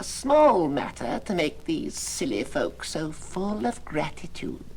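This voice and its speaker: Clear background noise behind a put-on character voice at a fairly slow pace. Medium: audio drama. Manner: calm, detached.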